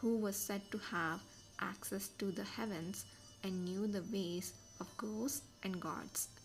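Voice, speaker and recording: A woman speaks quietly and very slowly at a medium pitch, with ordinary pitch variation. Music plays in the background. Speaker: amateur audiobook reader. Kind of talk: novel reading aloud, podcast. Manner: quiet, steady.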